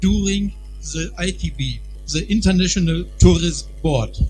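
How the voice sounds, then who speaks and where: A man speaks at a fairly slow pace in a very deep, low pitch. The room echo is audible, and there is noticeable background noise. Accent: German. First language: German. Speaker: festival organizer. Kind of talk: formal speech. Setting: stage with audience.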